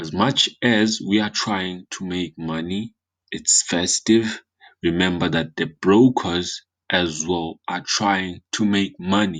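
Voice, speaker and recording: A man with a non-native accent and a very deep, low pitch speaks at a very slow pace with fairly even intonation. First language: not English. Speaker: forex trading analyst. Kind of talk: market analysis tutorial. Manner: halting with fillers and repetitions.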